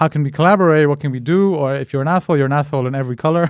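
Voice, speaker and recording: A man with an Indian accent, very fast pace, and a quiet background. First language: Hindi. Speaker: podcast host. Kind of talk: casual interview chat. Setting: in person. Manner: halting, many fillers and repetitions.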